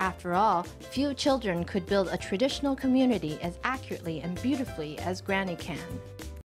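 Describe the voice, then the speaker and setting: With music in the background, a woman talks at a fairly quick pace with hardly any pauses. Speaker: news reporter. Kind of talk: TV news report narration.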